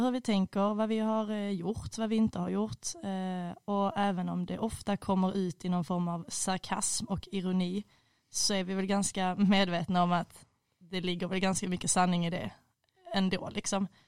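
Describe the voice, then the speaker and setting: Moderate pace and fairly even intonation from a woman with an ordinary speaking voice and medium pitch. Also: very clean recording, silent background. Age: 20s. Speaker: student. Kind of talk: casual chat. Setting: studio.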